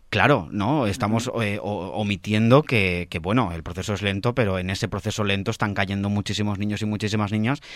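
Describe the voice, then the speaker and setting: A man's plain, everyday voice, fairly low in pitch, with ordinary pitch variation and a fairly quick pace on a very clean recording with a silent background. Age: 20s. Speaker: radio theatre section presenter. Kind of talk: radio interview and arts news.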